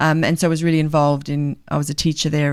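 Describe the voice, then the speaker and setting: A woman talks at a very fast pace. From South Africa. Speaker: charity leader working with ex-prisoners. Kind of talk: podcast interview.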